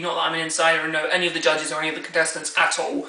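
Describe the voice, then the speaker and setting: Very fast speech from a woman, with noticeable background noise and audible room echo. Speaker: YouTube vlogger. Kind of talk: casual vlog commentary.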